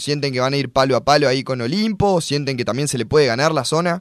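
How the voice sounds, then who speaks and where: A man's plain, everyday voice, fairly high-pitched, with lively intonation and a fairly quick pace. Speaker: sports radio co-host. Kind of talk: sports radio talk show. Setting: studio.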